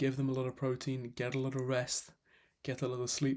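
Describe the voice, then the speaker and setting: Recorded very cleanly with a silent background, a man talks at a fairly quick pace and medium pitch. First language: not English. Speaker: fitness coach. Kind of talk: tutorial. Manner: casual, self-correcting.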